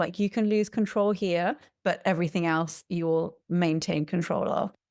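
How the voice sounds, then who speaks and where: Fairly even intonation and a moderate pace mark this English accent, captured in a very clean recording with a silent background. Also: woman. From England. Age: 40s. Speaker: podcast guest sharing personal experience. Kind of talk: interview testimony.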